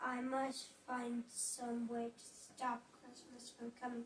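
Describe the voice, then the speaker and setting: In a put-on character voice, the speaker growls at a very slow pace with monotone, flat intonation, with clear background noise. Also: woman, high pitch for a woman. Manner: scheming, grumpy.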